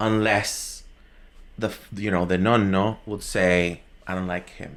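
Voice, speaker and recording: A man with a Spanish accent speaks at a fairly low pitch. His intonation stays monotone and flat. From Venezuela. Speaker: podcast guest. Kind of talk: casual chat. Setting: live recording. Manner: halting, many fillers.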